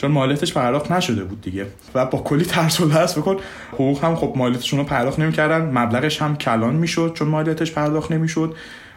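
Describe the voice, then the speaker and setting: A man at a very fast pace and fairly high pitch, ordinary pitch variation, with noticeable background noise and audible room echo. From Iran, Mashhad. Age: 20s. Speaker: software developer. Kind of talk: interview.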